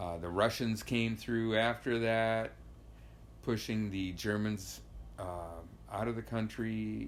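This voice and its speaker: Talking with an American accent at a fairly low pitch, the man goes at a very slow pace. Long, frequent pauses break up his speech. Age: 60s. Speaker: immigrant interviewee. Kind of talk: interview storytelling. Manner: halting, many fillers.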